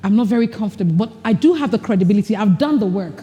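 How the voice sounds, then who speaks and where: The delivery is animated, with lively intonation. The pace is very fast. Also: woman. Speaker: leadership speaker. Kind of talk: workshop presentation.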